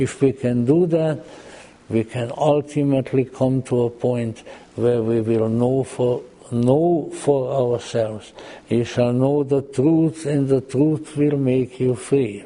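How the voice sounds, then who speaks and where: Noticeable background noise runs behind the recording. A man speaks very slowly at a medium pitch, with fairly even intonation. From Austria-Hungary region, Central Europe. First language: German and Hungarian. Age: old. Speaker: lecturer on Gnosticism and mythology. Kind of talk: lecture. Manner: halting, frequent repetitions and fillers.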